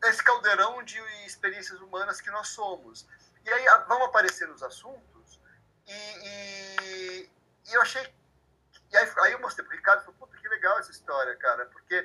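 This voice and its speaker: A man's high voice, bright and sharp in tone, is raised and projected at a moderate pace. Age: 50s. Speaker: author of young adult fiction. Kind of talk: interview. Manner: halting, many repetitions.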